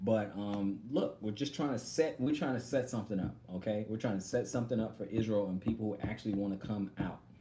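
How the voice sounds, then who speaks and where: This man has an American accent and a fairly low, dark, mellow, somewhat breathy voice. He talks at a fairly quick pace with hardly any pauses and ordinary pitch variation. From Texas. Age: 40s. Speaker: online religious teacher. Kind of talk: live stream Q&A. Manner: halting.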